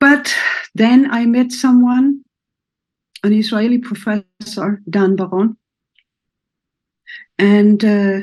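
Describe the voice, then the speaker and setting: A somewhat breathy woman at a very slow pace, with fairly even intonation and long, frequent pauses. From Germany. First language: German. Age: 70s. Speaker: therapist. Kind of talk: personal introduction talk. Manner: halting.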